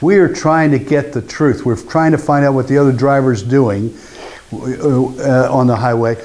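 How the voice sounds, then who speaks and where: Background noise is noticeable throughout. Over it, a man speaks at a moderate pace. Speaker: workshop trainer. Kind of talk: workshop presentation.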